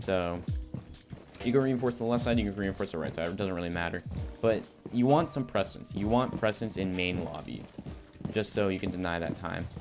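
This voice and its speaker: Music plays behind a man with a fairly low pitch who speaks at a fairly quick pace with ordinary pitch variation and long, frequent pauses. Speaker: gaming youtuber. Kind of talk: tutorial. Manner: casual, filler-heavy.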